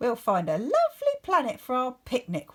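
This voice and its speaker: A woman puts on a character voice pitched high. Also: moderate pace. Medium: read story.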